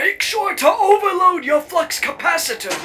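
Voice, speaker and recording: A cartoonish character voice at a moderate pace. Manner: explanatory, curious.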